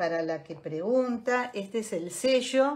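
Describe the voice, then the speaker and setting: The delivery is very slow, with a warm tone and lively intonation. Light background noise sits behind it. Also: woman. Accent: Rioplatense. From Greater Buenos Aires, Argentina; Argentina. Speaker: decorative artist and craft teacher; craft teacher. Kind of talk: live online craft tutorial. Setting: online livestream with viewers. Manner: chatty, warm, friendly. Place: home room. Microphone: phone near.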